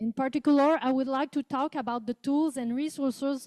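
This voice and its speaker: A woman with a Quebec accent and a dark, mellow tone speaks at a moderate pace, the sound dry and close with no echo. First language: French. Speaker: professor. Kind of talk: conference presentation. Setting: conference room with interpreters. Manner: reading from a script.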